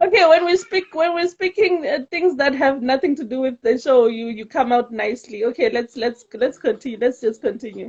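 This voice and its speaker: A woman at a high pitch, at a fairly quick pace with hardly any pauses. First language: Tsonga. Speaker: talk show host. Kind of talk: casual chat.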